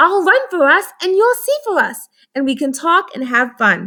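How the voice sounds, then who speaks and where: In a put-on character voice, a woman speaks squeaky and extremely high-pitched. Her pitch swings very widely at a moderate pace. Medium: read story. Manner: friendly, sprinkles Spanish words.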